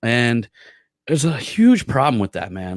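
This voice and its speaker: A man's voice, very clean recording, silent background all around. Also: dry, close sound with no echo. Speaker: marketing podcast host. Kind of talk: casual monologue. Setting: live stream. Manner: fast; animated.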